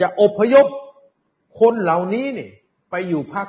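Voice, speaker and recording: A man with a high pitch. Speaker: political commentator and TV host. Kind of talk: political commentary monologue.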